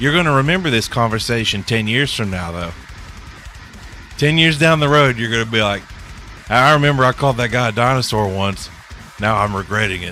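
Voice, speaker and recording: Lively intonation and medium pitch mark this man's voice, with music in the background. He talks at a fairly quick pace but with long, frequent pauses. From US South. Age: 30s. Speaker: gaming streamer. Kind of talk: casual chat.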